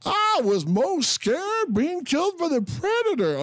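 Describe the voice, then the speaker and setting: This put-on character voice sits high in pitch and swings very widely up and down. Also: moderate pace. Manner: badly done imitation.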